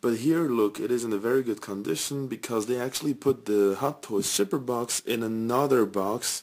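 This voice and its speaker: A man speaks quietly at medium pitch. He keeps a moderate pace. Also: ordinary pitch variation, hardly any pauses. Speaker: toy collector reviewer. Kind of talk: product review. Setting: home at night. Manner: quiet, subdued.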